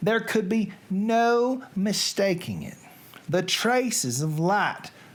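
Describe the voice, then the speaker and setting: Someone speaks very slowly in a Southern US accent. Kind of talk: literary reading.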